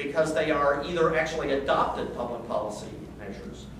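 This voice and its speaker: A man speaks at a moderate pace. Audible room echo and noticeable background noise fill the recording. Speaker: conference speaker. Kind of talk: talk to audience. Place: meeting room. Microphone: camera far.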